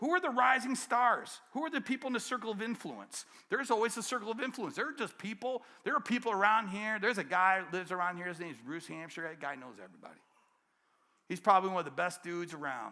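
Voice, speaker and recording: A very fast, raised and projected voice with an American accent, bright and sharp in tone, lively in intonation, with big swings in loudness on a very clean recording with a silent background. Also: man, high pitch for a man. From Detroit, Michigan. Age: 60s. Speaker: keynote speaker, business coach. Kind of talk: keynote speech. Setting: conference stage with audience. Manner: animated.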